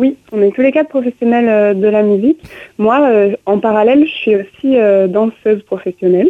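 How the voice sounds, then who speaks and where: A woman's normal speaking voice at a fairly high pitch and a moderate pace. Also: ordinary pitch variation. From southern France, Aveyron. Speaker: musician and dancer. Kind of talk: radio interview.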